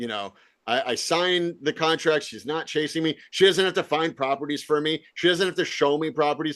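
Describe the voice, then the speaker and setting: Against a quiet background, a man with an American accent speaks at a fairly high pitch with ordinary pitch variation. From Virginia. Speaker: real estate investor and podcast host. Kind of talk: casual interview chat. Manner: fast, repetitive, many restarts.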